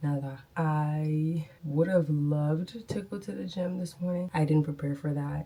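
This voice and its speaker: A woman with a very deep, low pitch and a dark, mellow tone speaks somewhat breathily, with ordinary pitch variation. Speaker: dental hygienist vlogger. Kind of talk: casual vlog talk. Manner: casual, chatty.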